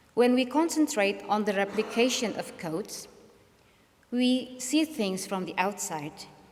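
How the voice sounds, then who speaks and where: With an Indonesian accent, a woman speaks in a fairly high voice at a fairly slow pace. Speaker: speaker. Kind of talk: lecture.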